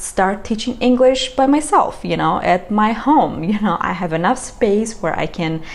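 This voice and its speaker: Over noticeable background noise, a woman with a medium pitch and a non-native accent speaks fairly slowly with lively intonation. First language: not English. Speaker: vlogger. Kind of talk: casual chat. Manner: halting.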